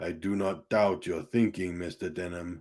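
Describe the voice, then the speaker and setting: Using a put-on character voice, a man growls in a raspy, very deep, low pitch at a moderate pace with fairly even intonation. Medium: read story. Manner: formal, measured.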